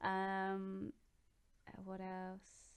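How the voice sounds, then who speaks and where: A woman with a southern English accent speaks at a medium pitch. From southeast England, Oxfordshire. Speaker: gaming YouTuber. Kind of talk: casual Q&A vlog. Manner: hesitant, many ums.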